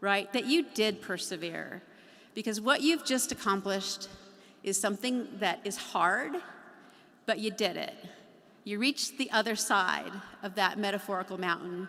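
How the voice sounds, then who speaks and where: Over noticeable background noise, a woman speaks at a medium pitch and moderate pace, with ordinary pitch variation and long, frequent pauses. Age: 50s. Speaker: university regent. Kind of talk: commencement speech. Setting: graduation ceremony.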